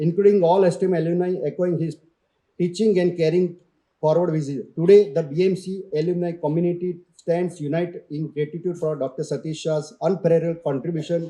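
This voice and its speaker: The pace is fairly quick and the intonation fairly even. The tone is dark and mellow. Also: man, high pitch for a man. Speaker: award ceremony presenter. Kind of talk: reading a prepared citation.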